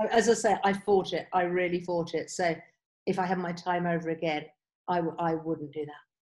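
Speaking in a normal speaking voice, a woman keeps her intonation fairly even. Her pitch sits fairly low and her pace is fairly quick. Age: 50s. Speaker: life coach. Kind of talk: interview, coaching advice.

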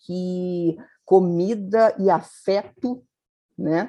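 This woman's voice has a medium pitch and a dark, mellow tone. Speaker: magazine editor-in-chief, journalist. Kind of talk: interview conversation.

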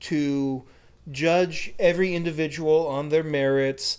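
In an ordinary speaking voice, a man with an American accent talks at a fairly high pitch with fairly even intonation. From United States. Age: 30s. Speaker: podcast co-host. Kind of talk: casual chat.

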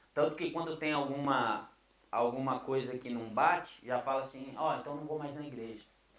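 Over noticeable background noise and audible room echo, a man with a fairly high pitch speaks at a moderate pace with fairly even intonation. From Brazil. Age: 30s. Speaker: pastor. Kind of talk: casual interview chat.

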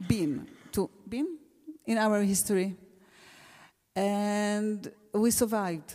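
A woman with an Israeli accent has a fairly high voice with a dark, mellow tone and ordinary pitch variation. The recording is very clean, the background silent. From Israel, Gush Etzion. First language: Hebrew. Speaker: teacher. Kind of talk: panel discussion. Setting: stage with audience. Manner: halting.

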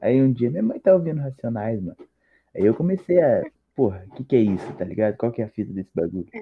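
Speaking at a very fast pace, a man with a medium pitch swings very widely up and down in pitch. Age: young. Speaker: podcast guest, rap fan. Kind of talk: casual chat.

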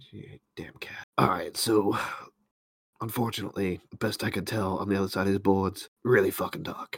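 In a raspy put-on character voice with a fairly low pitch, a man speaks at a moderate pace, his loudness swinging widely. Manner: sardonic, gruff.

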